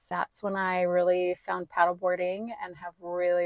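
The speaker has an American accent. The tone is calm. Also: woman. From US West, southwest Wyoming. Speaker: real estate appraiser and fitness coach. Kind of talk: casual interview chat.

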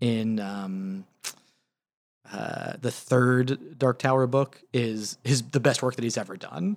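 With a normal speaking voice at medium pitch, a man talks at a fairly slow pace with fairly even intonation in a dry, close sound with no echo. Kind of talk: casual chat.

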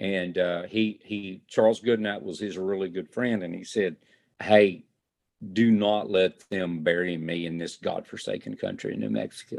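In a Texan accent, a man talks at a moderate pace with a very deep, low pitch and ordinary pitch variation. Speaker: fire chief and chuck wagon cook. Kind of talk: interview.

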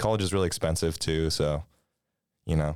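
A man's very deep, low voice, monotone and flat, at a fairly quick pace in a dry, close sound with no echo. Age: 20s. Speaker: student newspaper arts editor. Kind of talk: casual interview.

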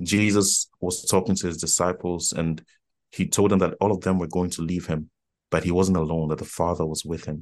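A man speaks in a very deep, low pitch with monotone, flat intonation over a quiet background. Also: fairly quick pace. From Ghana (Accra). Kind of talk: casual chat.

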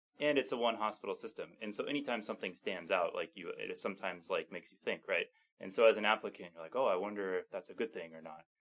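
Speaking very fast with hardly any pauses, a man with an American accent shows big swings in loudness. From US Pacific Northwest. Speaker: chief resident physician. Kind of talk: casual interview.

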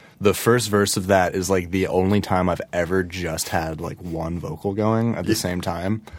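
A man's very deep, low voice in a Californian accent, with fairly even intonation and hardly any pauses. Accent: sounds Californian. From Connecticut, Fairfield County. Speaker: rock musician. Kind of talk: casual chat. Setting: studio. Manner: slow; laid-back.

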